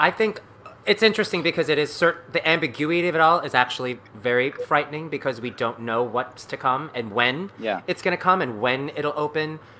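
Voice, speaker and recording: Lively intonation from a man with a fairly high pitch at a fairly quick pace, over noticeable background noise. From New York City. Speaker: stage actor. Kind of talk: casual chat. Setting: video call.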